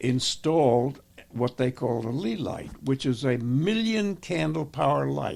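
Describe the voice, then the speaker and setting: With an American accent, a man speaks at a medium pitch with very wide pitch swings. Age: 80s+. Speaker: war veteran. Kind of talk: interview answer.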